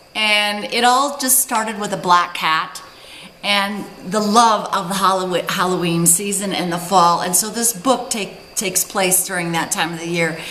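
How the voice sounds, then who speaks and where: There is noticeable background noise behind a woman speaking fairly slowly. Her pitch is medium, with ordinary variation. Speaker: author reading from her own book. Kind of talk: casual talk to camera introducing her book. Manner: chatty, enthusiastic.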